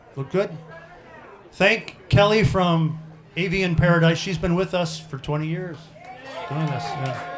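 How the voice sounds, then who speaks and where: Amid noticeable background noise and audible room echo, a man with a high voice talks at a fairly slow pace with fairly even intonation and long, frequent pauses. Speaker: forum moderator. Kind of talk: public forum moderation. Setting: restaurant event with audience and PA speakers. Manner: soft, not loud.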